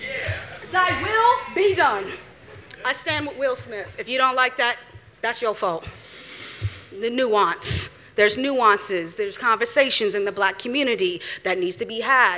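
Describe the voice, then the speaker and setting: Speaking at a fairly slow pace with long, frequent pauses, a woman uses lively intonation in a high voice over noticeable background noise. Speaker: spoken word poet. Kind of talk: spoken word performance. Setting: stage with audience.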